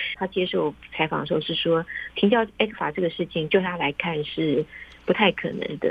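A woman speaks at a moderate pace with ordinary pitch variation. Her pitch is fairly low, in a normal speaking voice. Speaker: foreign correspondent reporting from Beijing. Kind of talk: interview. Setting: remote call.

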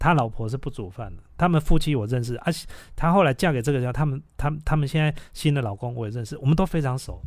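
A man talks very fast with hardly any pauses, at a fairly high pitch. His pitch varies in an ordinary way, and the recording is very clean with a silent background. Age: 40s. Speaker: podcast host. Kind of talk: casual chat.

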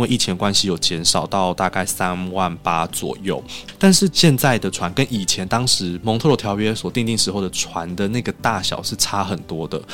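A fairly low-pitched man with lively intonation at a moderate pace, hardly any pauses, and music in the background. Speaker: Turkey culture association head. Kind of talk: interview.

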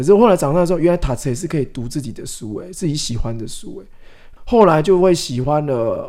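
With hardly any pauses, a man speaks at a moderate pace and fairly high pitch in a dark, mellow tone, his intonation lively and his loudness swinging widely. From Taiwan, Changhua. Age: 40s. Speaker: author. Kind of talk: interview.

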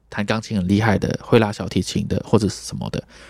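On a very clean recording with a silent background, a man with a fairly low pitch and vocal fry speaks at a fairly quick pace with fairly even intonation. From Malaysia. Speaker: trumpeter and music teacher. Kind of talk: interview.

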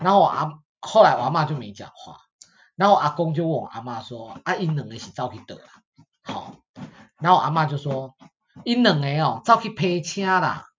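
A man's fairly high voice at a moderate pace, with lively intonation, big swings in loudness, and long, frequent pauses. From Taiwan. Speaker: podcast host. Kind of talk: casual chat.

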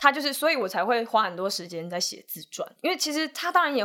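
A woman talks at a fairly quick pace in a bright, sharp tone. Her pitch swings very widely. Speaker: film director. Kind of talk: casual chat.

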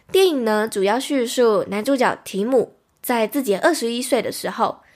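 A woman's unremarkable speaking voice, fairly high-pitched with lively intonation at a moderate pace, on a very clean recording with a silent background. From Taiwan. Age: 20s. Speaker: podcast host. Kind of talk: solo podcast monologue, movie recommendations. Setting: recorded livestream.

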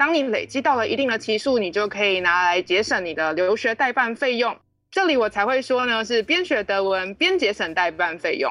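A woman talks at a fairly quick pace. Her fairly high pitch moves in very wide swings. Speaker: German teacher. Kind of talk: casual chat; scripted dialogue reading.

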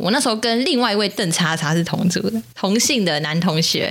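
A woman with a Taiwanese accent at medium pitch, a very fast pace, an animated tone, lively intonation, and noticeable background noise. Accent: Taiwanese Mandarin. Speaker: podcast co-host. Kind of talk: casual chat. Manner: talkative, animated.

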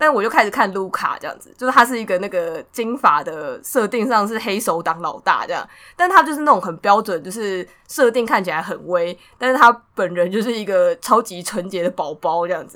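Bright and sharp in tone, a woman at a medium pitch speaks at a fairly quick pace with lively intonation and big swings in loudness. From Taiwan. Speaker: podcast co-host. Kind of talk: casual chat.

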